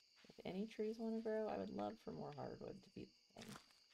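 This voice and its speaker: A woman speaks quietly. Her pace is fairly quick. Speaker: video game streamer. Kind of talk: casual gameplay livestream commentary. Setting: home livestream. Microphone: ASMR mic, sitting a bit away so sounds quiet.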